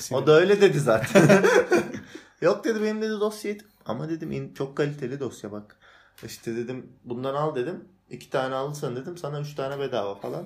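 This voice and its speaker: A man with a plain, everyday voice, a fairly high pitch, lively intonation, big swings in loudness and a fairly quick pace. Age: 20s. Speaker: cyber security specialist. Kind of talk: casual chat.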